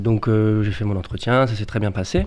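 Fairly low in pitch, a man talks with ordinary pitch variation. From Paris suburbs, France. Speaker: youth educator. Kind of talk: radio interview. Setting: radio studio. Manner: halting.

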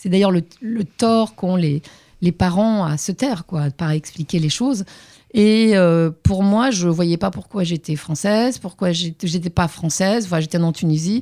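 Speaking at a fairly slow pace, a woman with a fairly low pitch and a dark, mellow tone is heard in a dry, close sound with no echo and a very clean recording with a silent background. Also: ordinary pitch variation. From Tunisia, Tunis. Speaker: journalist and author. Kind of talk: interview conversation. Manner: halting, many repetitions.

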